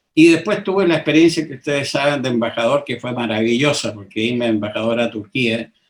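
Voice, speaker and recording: At a very fast pace with hardly any pauses, a man speaks at a medium pitch. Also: lively intonation. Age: 80s+. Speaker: political candidate, retired admiral. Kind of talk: interview.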